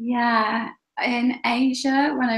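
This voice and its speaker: A woman speaks with vocal fry on a very clean recording against a silent background. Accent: English. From England. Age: 40s. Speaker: travel blogger. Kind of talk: interview.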